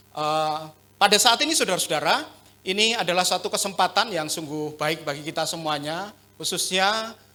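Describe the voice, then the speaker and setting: At a fairly quick pace, a man talks with a bright, sharp tone, a high pitch and ordinary pitch variation. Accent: strong Javanese. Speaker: pastor. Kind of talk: sermon. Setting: church.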